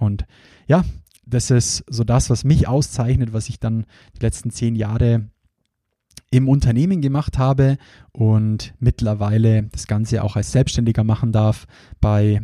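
A man with a Bavarian accent speaks at a fairly slow pace in a dark, mellow tone, his intonation fairly even and the sound dry and close with no echo. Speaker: podcast host and recruiting trainer. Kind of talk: solo podcast introduction.

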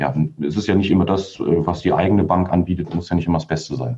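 A man's very deep, low voice with a dark, mellow tone and a fairly quick pace. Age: 30s. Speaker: mortgage broker, company founder. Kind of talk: interview.

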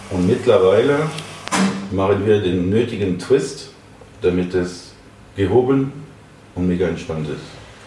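Speech comes at a fairly slow pace with long, frequent pauses, amid noticeable background noise and audible room echo. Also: man, fairly low pitch for a man, ordinary pitch variation. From France, Paris. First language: French (speaking German). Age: 30s. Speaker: restaurant owner and chef. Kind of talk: interview. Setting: restaurant.

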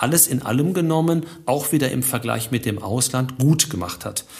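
A man's somewhat breathy voice moves at a moderate pace, with pitch that varies in an ordinary way. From Germany, Ruhr area. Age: 50s. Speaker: finance professor. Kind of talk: interview.

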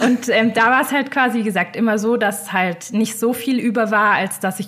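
Noticeable background noise accompanies a woman speaking at a moderate pace with fairly even intonation. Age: 20s. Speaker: finance blogger. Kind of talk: interview. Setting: video call.

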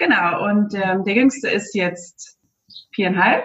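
A woman's fairly high voice unfolds at a fairly slow pace. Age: 40s. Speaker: aspiring virtual assistant, mother of three. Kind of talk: interview.

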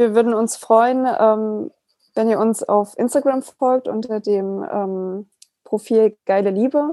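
A woman with a fairly high pitch and a dark, mellow tone speaks at a very slow pace. Her pitch varies in an ordinary way, and the sound is dry and close with no echo. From Saxony, Germany. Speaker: podcast host. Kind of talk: casual interview.

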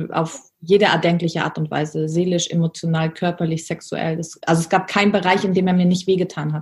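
A woman speaks at a fairly low pitch in a flat monotone, somewhat breathy. She barely pauses at all. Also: fairly quick pace. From Germany. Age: 30s. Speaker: business coach. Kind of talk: interview.

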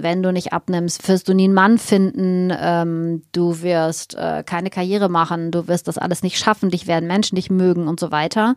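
A woman's ordinary speaking voice, fairly low-pitched, with fairly even intonation at a moderate pace, in a very clean recording with a silent background and a dry, close sound with no echo. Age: 50s. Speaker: naturopath and nutrition expert. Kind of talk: casual interview.

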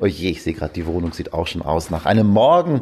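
This man's voice sits at a very deep, low pitch. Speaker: podcast host and father. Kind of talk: casual solo chat. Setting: at home, bed then veranda.

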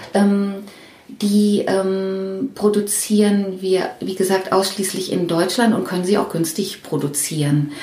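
Amid noticeable background noise and audible room echo, a woman talks at a very slow pace with a medium pitch and ordinary pitch variation. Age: 50s. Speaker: head of book production at a publisher. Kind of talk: interview. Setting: her office. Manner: halting.

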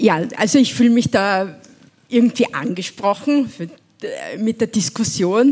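A somewhat breathy woman's voice, fairly high-pitched and lively in intonation, at a fairly slow pace with long, frequent pauses. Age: 70s. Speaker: single mother and poverty activist. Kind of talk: panel discussion. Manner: animated.

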